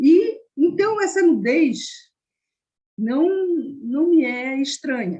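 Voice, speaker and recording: A woman speaks with very wide pitch swings. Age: 70s. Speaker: hospital volunteer and psychodramatist. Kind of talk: online discussion comment.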